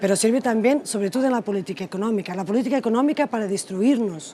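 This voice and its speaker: Very rapid speech from a woman, fairly high in pitch, its pitch varying in an ordinary way. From Portugal. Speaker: politician. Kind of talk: interview. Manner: soft-spoken; halting.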